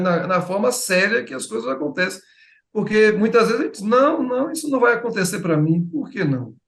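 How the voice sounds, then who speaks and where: A man speaks with very wide pitch swings. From Bahia, Brazil (Feira de Santana). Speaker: writer. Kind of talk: interview. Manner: halting.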